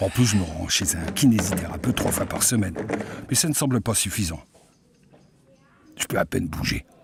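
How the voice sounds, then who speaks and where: A man's fairly low voice at a moderate pace, with lively intonation, long, frequent pauses and noticeable background noise. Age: 60s. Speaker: patient testimonial narrator. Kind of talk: scripted narration.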